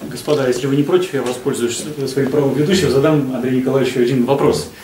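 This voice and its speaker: A medium-pitched man's voice over noticeable background noise. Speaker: event moderator. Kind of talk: formal introduction and moderation.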